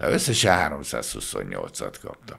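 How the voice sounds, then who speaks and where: Against quiet surroundings, a man's voice comes through. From Hungary, Budapest; Hungary. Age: 70s. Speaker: former bodyguard and model agency owner; podcast guest. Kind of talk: interview. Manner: casual. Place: studio. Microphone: studio mic.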